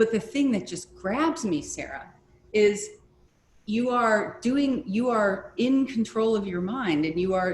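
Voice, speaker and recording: Noticeable background noise accompanies a woman speaking at a fairly slow pace. Her pitch is fairly high and her intonation lively. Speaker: crystal scryer leading an online session. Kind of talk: group discussion. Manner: gentle pace.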